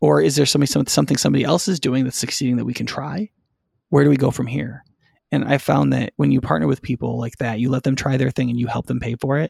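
A man's very fast speech at medium pitch with vocal fry and very wide pitch swings, dry and close with no echo. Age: 40s. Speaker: lead pastor. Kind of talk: casual discussion.

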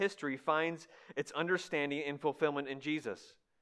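This is a man speaking. His pitch is fairly high. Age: 30s. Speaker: guest preacher. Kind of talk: sermon. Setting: church.

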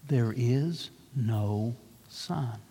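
A soft-spoken, put-on character voice at a low-to-middle pitch. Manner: slow, grave, hypnotic.

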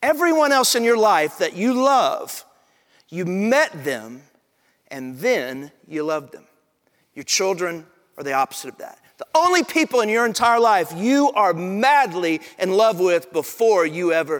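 Pitched high, a man talks at a fairly slow pace with very wide pitch swings. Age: 40s. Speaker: pastor. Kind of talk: sermon.

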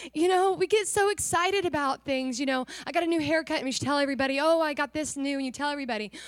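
A woman speaks at a very fast pace with hardly any pauses, her pitch high. Her tone is animated, and her pitch varies in an ordinary way. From Newcastle area (local church). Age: young. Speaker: returning missionary. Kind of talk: testimony. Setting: church stage with congregation.

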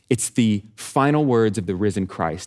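In an unremarkable speaking voice with an American accent, a man talks at a fairly low pitch and a moderate pace with ordinary pitch variation, on a very clean recording with a silent background. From Texas. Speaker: nonprofit director, former pastor. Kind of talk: sermon.

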